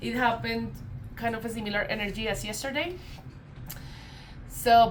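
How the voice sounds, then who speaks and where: Noticeable background noise and audible room echo accompany a woman with a Colombian accent who speaks at a moderate pace in a fairly high pitch with fairly even intonation. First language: Spanish. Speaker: tarot reader. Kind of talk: casual spiritual vlog talk. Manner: hesitant, many fillers.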